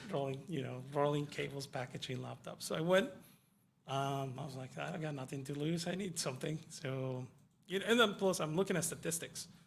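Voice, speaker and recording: A man with a Spanish accent speaks at a fairly quick pace in a somewhat breathy, fairly high voice, his pitch varying in an ordinary way. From Mexico, Yucatan. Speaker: IT professional, former kitchen worker. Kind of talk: radio interview. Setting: radio studio.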